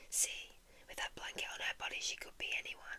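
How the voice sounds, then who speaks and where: Whispering over noticeable background noise, a woman speaks. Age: 20s. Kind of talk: whispered poetry reading for sleep. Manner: whispered, soft, slow.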